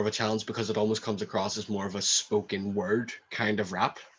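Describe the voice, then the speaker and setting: In a Northern Irish accent, the speaker talks at a moderate pace with flat, monotone intonation against a quiet background. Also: man. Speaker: rapper. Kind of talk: interview. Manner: halting, repeats words.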